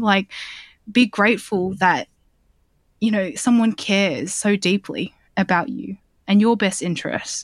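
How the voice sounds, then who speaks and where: Recorded very cleanly against a silent background with a dry, close sound and no echo, a woman speaks at a fairly high pitch with an Australian accent. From Australia, southwest Sydney. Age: 30s. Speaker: journalist. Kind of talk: casual chat.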